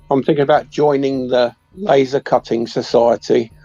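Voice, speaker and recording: With music in the background, a man speaks with an English accent at a moderate pace and fairly even intonation, the sound dry and close with no echo. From England. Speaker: viewer on stream chat. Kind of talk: casual chat. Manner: loud.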